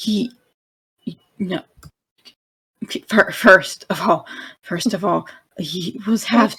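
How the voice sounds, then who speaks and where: Using a put-on character voice, a woman speaks with a raspy, medium-pitched sound at a fairly slow pace, with long, frequent pauses. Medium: actual play. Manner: stammering, urgent.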